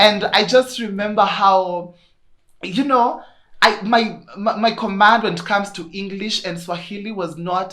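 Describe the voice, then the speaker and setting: Big swings in loudness mark a woman with a Kenyan accent, medium pitch and ordinary pitch variation, speaking at a fairly slow pace with audible room echo. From Kenya, Kirinyaga. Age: 20s. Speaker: podcaster. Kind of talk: casual chat. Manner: animated.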